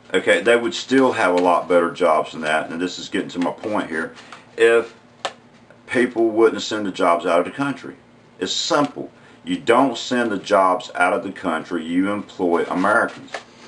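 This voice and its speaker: Someone with a strong Southern US accent talks at a moderate pace with ordinary pitch variation over noticeable background noise. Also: man, fairly low pitch for a man. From US South, rural North Carolina. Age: 40s. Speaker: unemployed vlogger. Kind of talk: opinion vlog monologue. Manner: halting, many fillers and repeats.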